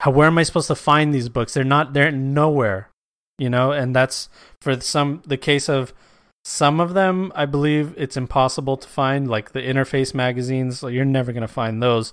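Over a very clean recording with a silent background, a man speaks in a relaxed tone at a medium pitch and a moderate pace. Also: fairly even intonation. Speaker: podcast host and tabletop game content creator. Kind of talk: casual solo monologue. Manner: relaxed, free-form.

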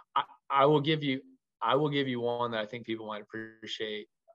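His intonation is fairly even. The man rushes along at a very fast pace. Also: long, frequent pauses, big swings in loudness. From Louisville, Kentucky. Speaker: college baseball head coach. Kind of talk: interview conversation. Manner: rambling, filler-heavy.

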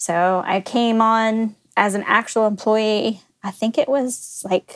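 This woman has an ordinary speaking voice, pitched fairly high, with fairly even intonation. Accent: American. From Texas, Dallas area. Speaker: company executive. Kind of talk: casual chat.

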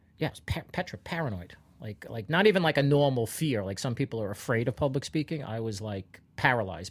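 Over a very clean recording with a silent background, a man talks at a very fast pace with hardly any pauses, his medium-pitched, somewhat breathy voice showing lively intonation and big swings in loudness. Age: 50s. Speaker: comedian. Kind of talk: casual chat.

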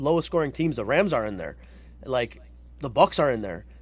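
A man speaks at a fairly quick pace with lively intonation. His pitch sits fairly high, and vocal fry runs through it. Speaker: sports podcast co-host. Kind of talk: casual chat.

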